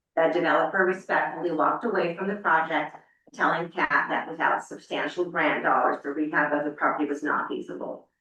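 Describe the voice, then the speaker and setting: Speaking at a fairly quick pace with fairly even intonation, a woman's very deep, low pitch carries audible room echo. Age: 50s. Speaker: property asset manager presenting to council. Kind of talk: reading a prepared statement at a public meeting. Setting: city council meeting. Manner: halting, many fillers.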